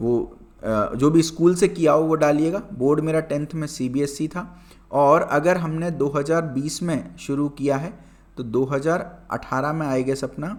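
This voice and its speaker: An ordinary speaking voice, this man's sits at a fairly high pitch and varies in pitch in an ordinary way. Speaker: exam prep teacher. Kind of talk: tutorial. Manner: casual, conversational.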